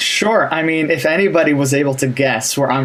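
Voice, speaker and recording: A man with an American accent, fairly high in pitch, at a fairly quick pace with fairly even intonation, over noticeable background noise. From Canada. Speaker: language teacher. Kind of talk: casual interview.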